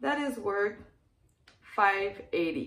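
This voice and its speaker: A woman with a French Canadian accent and fairly high pitch, lively intonation at a very slow pace, amid audible room echo. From Quebec, Canada. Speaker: clothing reseller. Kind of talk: casual talk to camera. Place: home room. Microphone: phone near.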